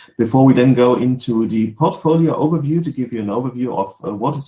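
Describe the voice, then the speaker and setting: A man with a German accent and a dark, mellow, medium-pitched voice, talking very fast with ordinary pitch variation. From Germany. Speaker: sales manager. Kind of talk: webinar presentation. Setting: home office video webinar. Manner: halting, many fillers.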